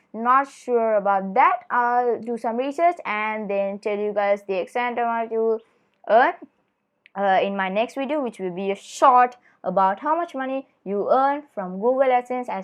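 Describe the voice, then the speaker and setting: Using an ordinary speaking voice, a woman with a fairly high pitch and lively intonation speaks at a moderate pace. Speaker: tech tutorial youtuber. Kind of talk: tutorial.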